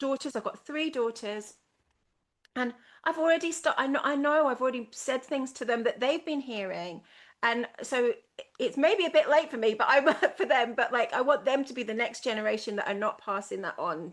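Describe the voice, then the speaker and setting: A woman with a high voice speaks at a moderate pace and with lively intonation. The background is quiet. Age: 50s. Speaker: artist. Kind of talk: interview.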